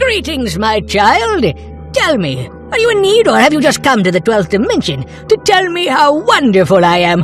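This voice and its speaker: A cartoonish character voice moves at a moderate pace. Clear music plays in the background. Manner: breezy, condescending, casual.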